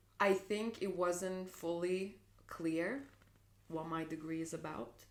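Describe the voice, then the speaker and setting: Speaking very slowly with a Lithuanian accent, a woman uses a fairly low pitch and ordinary pitch variation, with audible room echo around her. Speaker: dance producer and dancer. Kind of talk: casual chat. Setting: on a couch at home.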